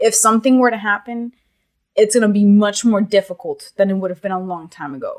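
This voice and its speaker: Using a normal speaking voice, a woman talks at a fairly quick pace in a medium pitch, with ordinary pitch variation and big swings in loudness. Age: 20s. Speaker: podcast guest. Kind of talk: casual chat.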